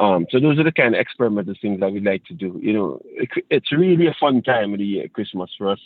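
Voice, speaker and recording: In an Antiguan accent, a man speaks at a fairly quick pace with a fairly low pitch and ordinary pitch variation. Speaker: steel pan musician and teacher. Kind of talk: interview.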